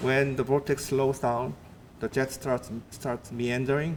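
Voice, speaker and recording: A man talks in a plain, everyday voice at a medium pitch. His pace is fairly slow. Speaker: atmospheric scientist. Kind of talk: lecture.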